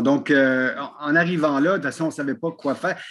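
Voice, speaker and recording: A man's voice against a quiet background. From Quebec, Montreal, raised by French parents. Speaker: wrestling commentator. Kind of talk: casual interview chat. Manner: animated.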